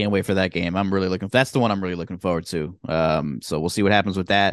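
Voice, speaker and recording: The background is quiet while a man talks at a very fast pace. His voice sits fairly low. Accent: American. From Southern New Jersey. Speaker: sports podcast co-host. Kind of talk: casual chat.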